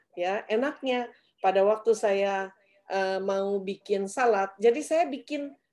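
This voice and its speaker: A woman talks very slowly, with ordinary pitch variation. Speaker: webinar moderator. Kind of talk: webinar moderation. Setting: video call. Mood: friendly, relaxed. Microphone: webcam.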